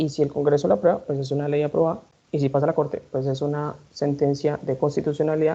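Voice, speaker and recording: A woman's very deep, low voice with a dark, mellow tone, at a very fast pace. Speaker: law professor. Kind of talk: lecture.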